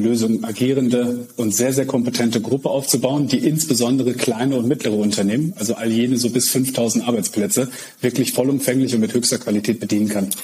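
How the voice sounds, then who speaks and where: The man speaks at a medium pitch and a fairly quick pace, his tone dark and mellow and his intonation fairly even. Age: 30s. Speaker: managing director of an IT group. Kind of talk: interview.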